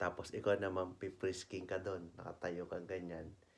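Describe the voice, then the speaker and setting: A soft-spoken man talks at a fairly slow pace. His pitch is very deep and low. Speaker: travel vlogger. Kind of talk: casual vlog narration. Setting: indoors at home. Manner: soft-spoken, lowered voice.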